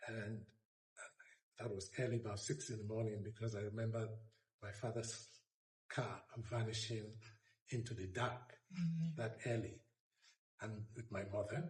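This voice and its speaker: A man with a medium-pitched, somewhat breathy voice speaks at a moderate pace, leaving long, frequent pauses. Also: ordinary pitch variation. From Benin City, Edo State, Nigeria. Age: 70s. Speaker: retired diplomat. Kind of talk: oral history interview answer.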